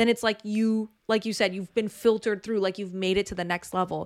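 A woman speaks with a fairly high pitch. The recording is very clean and dry, with a silent background and a close sound with no echo. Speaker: podcast co-host. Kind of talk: casual chat. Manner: loud.

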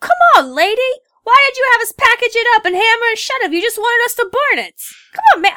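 A woman puts on a character voice in a New York accent. It runs at an extremely high pitch and a very fast pace. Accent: New Yorker. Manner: exasperated, complaining.

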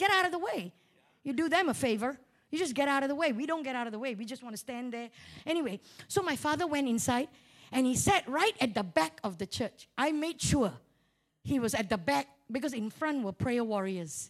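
Here a woman speaks in a high voice with an animated tone. Her pitch swings very widely at a fairly quick pace. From Malaysia. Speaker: guest preacher and mental health speaker. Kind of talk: sermon. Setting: church.

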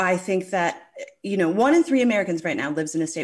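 Noticeable background noise sits behind a woman's voice. Her fairly low pitch swings very widely. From Newfoundland, Canada. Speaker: cannabis journalist and podcaster.

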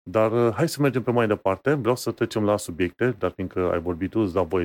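An unremarkable speaking voice with lively intonation comes through in a dry, close sound with no echo. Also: man, very clean recording, silent background. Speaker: tech podcast co-host. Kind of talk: casual chat.

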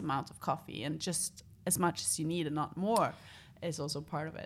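A woman with a Norwegian accent at a moderate pace, in a very clean recording with a silent background. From northern Norway, Tromsø. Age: 30s. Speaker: environmental organization leader. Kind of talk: interview.

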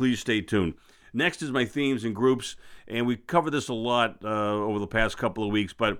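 A man talks at a fairly quick pace with an American accent. His medium pitch shows ordinary pitch variation. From Boston. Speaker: investing podcast host. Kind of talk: solo market commentary. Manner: hesitant, many fillers.

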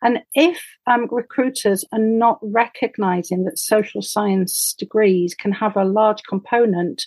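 The recording is dry and close with no echo, and the voice shows ordinary pitch variation. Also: woman. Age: 60s. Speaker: professor. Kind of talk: interview.

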